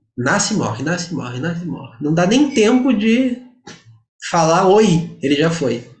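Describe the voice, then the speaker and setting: At a moderate pace, a man talks with very wide pitch swings in a space with audible room echo. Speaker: Vedanta teacher. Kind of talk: lecture.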